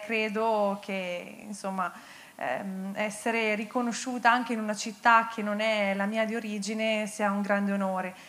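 Her fairly high voice stays monotone and flat as this woman speaks at a fairly slow pace. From Bergamo, northern Italy; northern Italy. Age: 30s. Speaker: paralympic athlete; guest. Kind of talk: on-stage interview. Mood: warm, grateful. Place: stage. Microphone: handheld.

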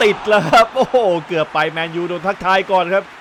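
A man's speech comes with noticeable background noise. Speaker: football commentator. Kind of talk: football match commentary.

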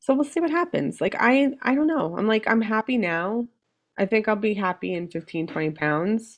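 In a quiet background, a woman speaks at a moderate pace with a fairly high pitch and very wide pitch swings. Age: 40s. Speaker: weight loss surgery patient; podcast guest. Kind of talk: casual chat. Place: home room.

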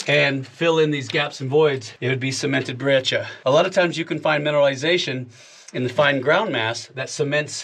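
A man speaks at a fairly quick pace, keeping his intonation fairly even. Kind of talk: explanatory commentary. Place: tunnel cave.

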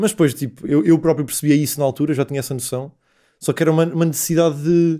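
A man's dark, mellow, fairly high-pitched voice at a very fast pace with fairly even intonation, over a quiet background. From Portugal, Guarda; Portugal. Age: 20s. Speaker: stand-up comedian. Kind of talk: casual chat. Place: studio. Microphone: studio mic.

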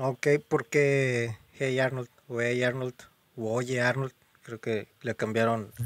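A man speaks at a very slow pace in a monotone, flat intonation. The sound is dry and close, with no echo. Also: medium pitch for a man. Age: 20s. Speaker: podcast host. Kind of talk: casual chat.

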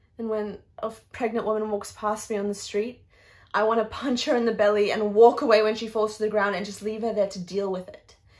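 In an Australian accent, a woman speaks at a fairly quick pace with a fairly high pitch. Her tone is intense, and her intonation is monotone and flat. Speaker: actor performing an audition-style monologue. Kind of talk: dramatic theatrical monologue, confessional and raw. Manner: emotionally intense, building from grief to bitter rage; repetitive, anguished emphasis. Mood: anguished, bitter, rising anger. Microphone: phone near.

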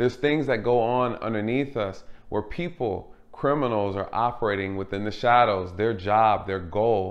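A man speaks at a moderate pace, his pitch shifting in an ordinary way. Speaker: channel host. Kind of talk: commentary. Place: home room.

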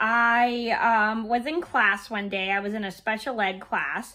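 A woman at medium pitch with a bright, sharp tone, speaking at a fairly slow pace.

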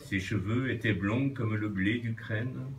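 Someone talks at a very slow pace with ordinary pitch variation while light background noise sits behind the voice. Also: man. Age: 60s. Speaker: birthday honoree and amateur writer. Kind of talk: reading aloud. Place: bar. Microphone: phone near.

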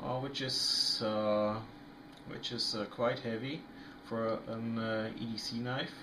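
Noticeable background noise surrounds a man speaking with a non-native accent. His delivery is very slow, with monotone, flat intonation. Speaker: knife reviewer. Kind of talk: casual product review to camera. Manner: hesitant, many fillers.

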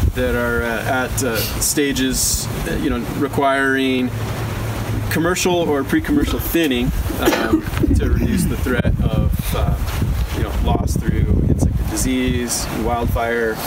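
A man at a very slow pace over loud background noise. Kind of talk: field trip briefing. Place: open country. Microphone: camera far.

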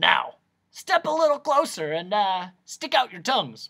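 A put-on character voice bellows at a fairly slow pace with very wide pitch swings. The tone is bright and sharp, with a slightly husky edge.

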